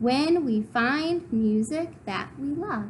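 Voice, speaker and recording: A woman puts on a high-pitched character voice with lively intonation at a very slow pace. Clear background noise can be heard. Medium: read story.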